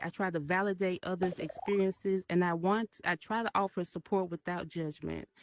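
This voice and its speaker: In a Memphis accent, a woman speaks at a moderate pace and medium pitch with fairly even intonation, the sound dry and close with no echo. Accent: Southern US (Memphis). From US South, Memphis, Tennessee. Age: 30s. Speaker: artist and community member. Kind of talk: short personal talk. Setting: virtual event in VR metaverse. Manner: halting, many fillers; shaky voice when speaking.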